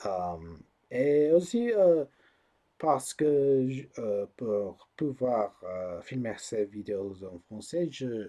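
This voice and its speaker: In an American accent, a man with a dark, mellow tone speaks at a very slow pace, using very wide pitch swings and big swings in loudness. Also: medium pitch for a man. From US, Colorado. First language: English (speaking French). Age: 20s. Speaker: YouTuber, political commentator. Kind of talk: casual vlog monologue. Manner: halting, many fillers and repetitions.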